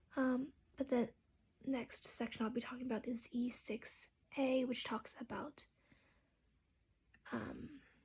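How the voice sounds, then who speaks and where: Soft-spoken and flat in intonation, a woman with a high voice talks at a fairly slow pace with long, frequent pauses. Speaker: counseling student. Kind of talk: class video presentation. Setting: open space at home.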